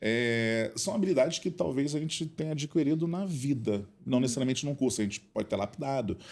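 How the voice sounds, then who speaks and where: A plain, everyday voice from a man, fairly high in pitch, with lively intonation and a fairly quick pace. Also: hardly any pauses. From Rio de Janeiro, Brazil. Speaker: flight attendant and cabin crew instructor. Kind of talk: podcast interview answer.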